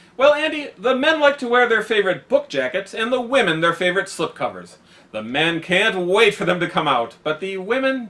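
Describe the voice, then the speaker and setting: Over noticeable background noise, a man speaks at a moderate pace with hardly any pauses and very wide pitch swings. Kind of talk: satirical news anchor banter, scripted comedy.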